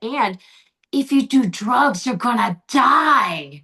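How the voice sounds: Doing a put-on character voice, a woman speaks very slowly in a high, gravelly pitch with very wide pitch swings.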